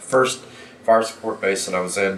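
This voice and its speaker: Noticeable background noise and audible room echo surround the recording. A man talks in an American accent at a fairly low pitch. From US Midwest (Kansas). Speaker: war veteran and history teacher. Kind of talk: interview testimony. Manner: halting.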